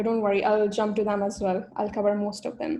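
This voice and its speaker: A woman talking at a fairly quick pace. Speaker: career mentor. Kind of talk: webinar seminar. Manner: fast.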